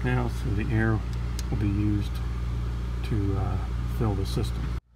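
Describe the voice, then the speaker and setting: A man's voice under loud background noise. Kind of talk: tutorial. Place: garage. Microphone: phone near.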